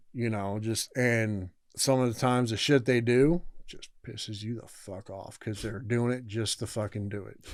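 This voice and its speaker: A man's plain, everyday voice with an American accent, medium pitch, fairly even intonation, moderate pace and big swings in loudness. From Southern California. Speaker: former inmate. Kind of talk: casual interview.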